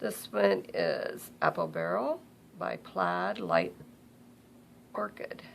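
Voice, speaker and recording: The speech is mumbled and very slow. Long pauses come often. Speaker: crafter. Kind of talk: tutorial. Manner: mumbling; casual, halting.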